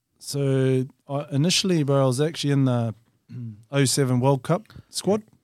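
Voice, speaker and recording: A man with a New Zealand accent talks at a moderate pace in a fairly high pitch, with ordinary pitch variation, very even loudness, and long, frequent pauses. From New Zealand, Whanganui. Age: 30s. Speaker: touch rugby player. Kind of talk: casual chat.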